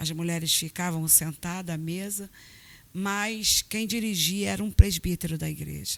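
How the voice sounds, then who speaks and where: A woman with a plain, everyday voice talks at a fairly slow pace and fairly low pitch, with ordinary pitch variation and big swings in loudness. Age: 50s. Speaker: pastor. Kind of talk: testimony. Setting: church.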